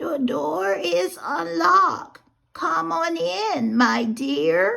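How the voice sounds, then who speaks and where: Using a put-on character voice at a fairly high pitch, the speaker moves very slowly through very wide pitch swings. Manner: sweet, feigned.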